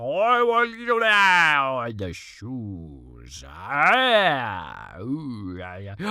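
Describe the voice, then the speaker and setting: Using a put-on character voice, a man speaks at a very slow pace with hardly any pauses. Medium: read story. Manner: rambling, garbled.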